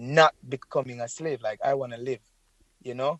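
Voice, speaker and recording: Fairly quick speech in a Jamaican accent, dry and close with no echo. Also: man. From Jamaica, rural St. Elizabeth. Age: 30s. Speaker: reggae singer. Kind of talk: interview. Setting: phone call.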